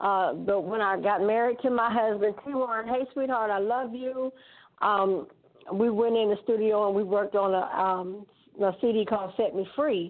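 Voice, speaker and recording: The speaker uses fairly even intonation at a moderate pace, with an Alabama accent. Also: woman, fairly high pitch for a woman. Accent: Southern US (Alabama). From US South, Alabama. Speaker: gospel recording artist. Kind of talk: casual interview.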